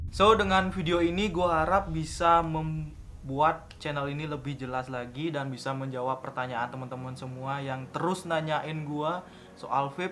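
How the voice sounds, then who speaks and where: A man talks with hardly any pauses in a relaxed tone that is also bright and sharp. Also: fairly high pitch for a man, ordinary pitch variation, moderate pace. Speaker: YouTuber, vape reviewer. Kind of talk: casual vlog talk to camera. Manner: fluent, relaxed.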